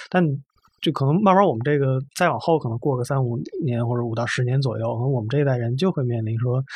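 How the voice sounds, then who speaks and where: A somewhat breathy man at medium pitch, very fast in pace, with ordinary pitch variation. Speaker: podcast host and content editor. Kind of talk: casual discussion.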